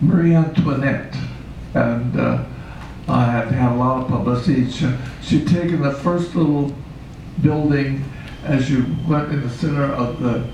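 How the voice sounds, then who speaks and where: With an American accent, a man talks at a fairly high pitch and fairly even intonation. Audible room echo and noticeable background noise surround the recording. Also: moderate pace. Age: 90s. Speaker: puppeteer. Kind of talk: interview. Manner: halting.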